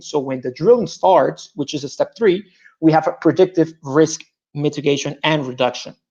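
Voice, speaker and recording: Pitched fairly high, a man with a Spanish accent talks at a moderate pace with ordinary pitch variation. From Colombia. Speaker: petroleum engineer and startup founder. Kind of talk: startup pitch.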